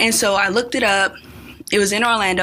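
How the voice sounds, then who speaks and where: A woman speaks with an American accent. Noticeable background noise runs under her voice. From California. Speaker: engineering student. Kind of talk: casual interview. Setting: radio studio.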